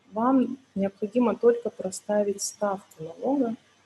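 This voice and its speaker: The voice is somewhat breathy with a dark, mellow tone. It moves at a fairly slow pace with ordinary pitch variation. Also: woman. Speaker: tax accountant, webinar speaker. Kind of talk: webinar tutorial. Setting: online webinar.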